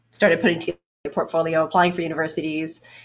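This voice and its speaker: A woman speaks with a Canadian accent. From Canada, Edmonton, Alberta. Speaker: game animator. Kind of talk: interview.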